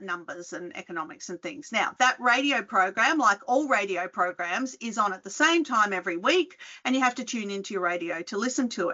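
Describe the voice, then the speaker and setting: Someone with an Australian accent talks at a fairly quick pace with lively intonation. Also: woman. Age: 50s. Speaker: retail researcher and podcast host. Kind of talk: conference talk. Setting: video call. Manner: conversational, hesitant with fillers.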